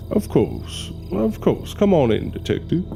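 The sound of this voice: A man's put-on character voice, fairly high in pitch and fairly slow, with vocal fry, very wide pitch swings and clear music in the background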